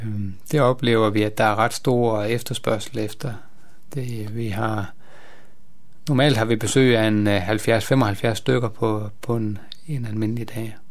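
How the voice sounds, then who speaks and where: Audible room echo around a man at medium pitch, fairly even in intonation, at a very slow pace with long, frequent pauses. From northern Jutland, Denmark (near Skagen). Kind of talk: radio interview. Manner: halting, many hesitations.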